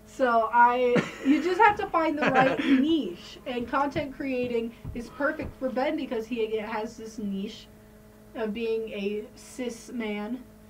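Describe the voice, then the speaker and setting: Over light background noise, a woman talks at a very slow pace in a high pitch with ordinary pitch variation. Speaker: podcast host. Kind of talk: casual podcast conversation. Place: home room. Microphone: studio mic.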